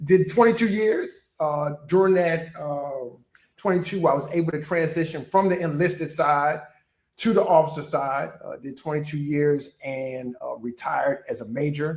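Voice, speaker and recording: A man with an American accent and a normal speaking voice talks at a moderate pace with a fairly high pitch. His pitch variation is ordinary, while his loudness swings widely. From Baltimore, Maryland. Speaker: retired Marine officer and leadership coach. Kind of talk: interview.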